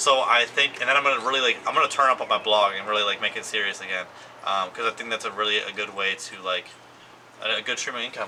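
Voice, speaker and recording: With noticeable background noise, a man talks very fast at a fairly low pitch with ordinary pitch variation. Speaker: vlogger. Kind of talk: casual chat. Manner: rambling filler-heavy.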